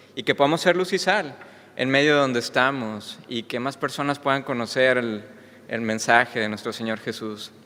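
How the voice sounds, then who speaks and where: A man speaks with a slight Mexican accent. His pace is moderate and his pitch varies in an ordinary way. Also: medium pitch for a man. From Mexico. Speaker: preacher. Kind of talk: sermon. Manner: hesitant with fillers.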